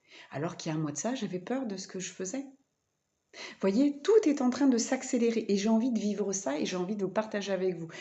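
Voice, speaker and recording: At a fairly quick pace, a woman speaks with medium pitch, lively intonation, and big swings in loudness. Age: 40s. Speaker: vlogger and spiritual therapist. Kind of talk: personal vlog monologue. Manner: halting, many fillers.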